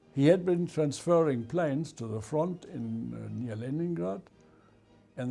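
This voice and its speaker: With music in the background, a man is talking at a moderate pace. His pitch is fairly high. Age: 80s+. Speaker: war veteran. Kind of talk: interview. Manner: halting.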